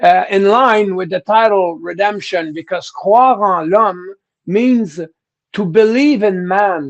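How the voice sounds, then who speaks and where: A man's high voice with ordinary pitch variation, a very slow pace and a strong French Canadian accent. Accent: thick French-Canadian. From Quebec, Canada. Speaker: rock singer. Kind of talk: interview. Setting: live stream. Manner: halting, repeats words.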